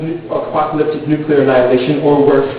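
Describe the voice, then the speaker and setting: Over noticeable background noise, a man speaks in a monotone, flat intonation. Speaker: slam poet. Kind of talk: slam poetry performance. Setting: live event.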